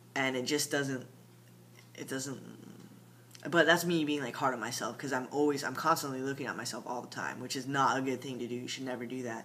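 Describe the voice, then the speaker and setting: Audible room echo accompanies a man with a bright, sharp tone and medium pitch. He speaks fairly quickly with fairly even intonation. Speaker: transgender vlogger giving transition update. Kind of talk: casual video diary. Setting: at home late at night. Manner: halting, many fillers.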